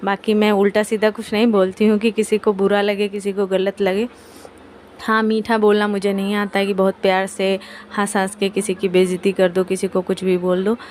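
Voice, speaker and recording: A woman speaks in a flat monotone at a moderate pace. There is noticeable background noise. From India, Kanpur (Uttar Pradesh). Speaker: family vlogger. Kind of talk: casual vlog talk. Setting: at home, kitchen. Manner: blunt, outspoken.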